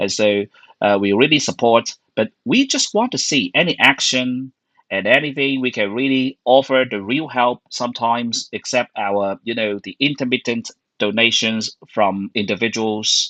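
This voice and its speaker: A man speaks at a moderate pace in a medium pitch with ordinary pitch variation, his bright, sharp tone recorded dry and close with no echo against a quiet background. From Hong Kong. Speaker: online show host and interpreter. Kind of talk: interview. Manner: halting.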